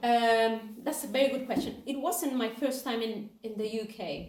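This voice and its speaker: Someone speaks with a Spanish accent at a moderate pace. The intonation is fairly even, and the room echo is audible. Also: woman. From Mexico, Guadalajara. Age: 30s. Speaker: charity volunteer intern. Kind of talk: interview. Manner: hesitant.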